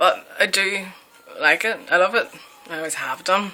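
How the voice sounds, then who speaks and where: Over noticeable background noise, a woman with a strong Northern Irish accent speaks at medium pitch. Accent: broad Northern Irish. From Northern Ireland. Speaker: vlogger. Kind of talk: casual Q&A chat. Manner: casual, many fillers.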